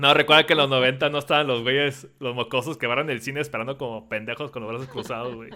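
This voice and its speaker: Delivered at a very fast pace in a Mexican accent, the speech has fairly even intonation and big swings in loudness. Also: man, medium pitch for a man. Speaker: podcast host. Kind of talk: casual chat. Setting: live stream with Discord call.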